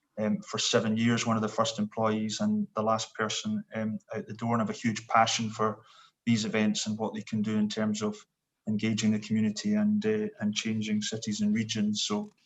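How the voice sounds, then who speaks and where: With a Scottish accent, a man speaks at a fairly low pitch and a moderate pace in a monotone, flat intonation. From Scotland. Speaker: sports event executive. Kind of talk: panel introduction. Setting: video call.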